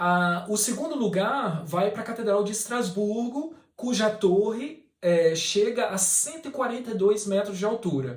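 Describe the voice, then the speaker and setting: Hardly any pauses break up this very slow delivery. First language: Portuguese (speaking French). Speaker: scale model maker. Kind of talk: Q&A video, informal explanation.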